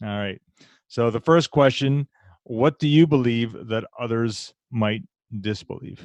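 This is an unremarkable speaking voice from a man. He talks fairly slowly with ordinary pitch variation. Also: medium pitch for a man. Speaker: podcast host. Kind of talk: casual interview conversation.

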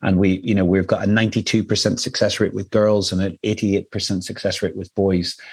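Someone with an Irish accent talks at a fairly slow pace with hardly any pauses and monotone, flat intonation. The recording is very clean, with a silent background. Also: man, fairly low pitch for a man. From Ireland. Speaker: nonprofit CEO. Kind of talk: interview.

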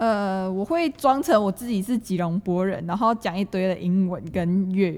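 A woman with a plain, everyday voice at medium pitch, ordinary pitch variation, a moderate pace and hardly any pauses. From Malaysia, Johor near Singapore. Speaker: university student. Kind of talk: casual chat.

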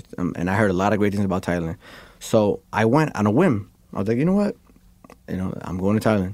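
A man with a New York accent talks at a very fast pace in a fairly low pitch. Long pauses come often. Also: ordinary pitch variation. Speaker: graffiti artist. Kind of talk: casual interview chat. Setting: studio. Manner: animated.

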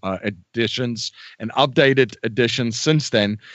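Ordinary pitch variation marks this voice with a South African accent. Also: man. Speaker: real estate investor and podcaster. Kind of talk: interview.

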